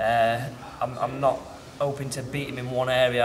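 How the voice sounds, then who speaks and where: A man with a Yorkshire accent speaks at a fairly high pitch over noticeable background noise. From Yorkshire, England. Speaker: mixed martial arts fighter. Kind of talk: interview answer. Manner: casual, relaxed.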